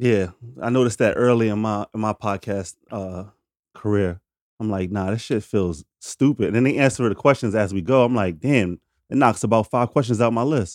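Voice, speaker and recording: The recording is very clean with a silent background and a dry, close sound with no echo. A man speaks at a fairly low pitch with ordinary pitch variation. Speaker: podcast host. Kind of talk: casual chat. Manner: fast.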